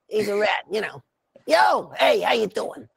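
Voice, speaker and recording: A put-on character voice with a raspy edge. It moves at a moderate pace. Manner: casual, streetwise.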